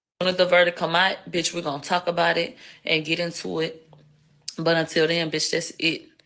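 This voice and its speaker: A woman with a Houston accent speaks at a moderate pace, her fairly low-pitched voice bright and sharp in tone, with monotone, flat intonation. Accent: Houston twang. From Houston, Texas. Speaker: livestreamer, commentator. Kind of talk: live stream commentary. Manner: slurred speech; casual, profane.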